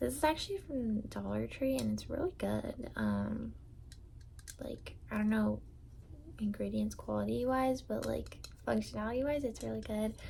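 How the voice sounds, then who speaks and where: A woman speaks in a soft-spoken voice. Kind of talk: ASMR product ramble.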